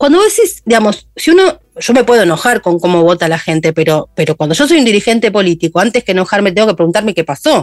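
A woman speaks with a Rioplatense accent. Music plays in the background, and the sound is dry and close with no echo. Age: 50s. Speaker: journalist and podcaster. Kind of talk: interview.

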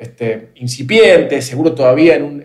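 A man with a Rioplatense accent speaks at a fairly high pitch with ordinary pitch variation. His voice is somewhat breathy. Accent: Argentine Rioplatense Spanish. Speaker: podcast host. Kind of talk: interview conversation. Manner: halting, many repetitions.

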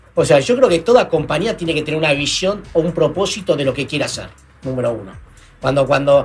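A high-pitched man at a very fast pace, with music in the background. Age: 40s. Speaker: entrepreneur, company CEO. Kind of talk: interview.

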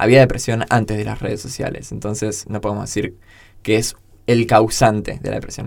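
Vocal fry runs through this man's fairly low voice as he speaks at a moderate pace with monotone, flat intonation. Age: 20s. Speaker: podcast co-host. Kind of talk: casual chat.

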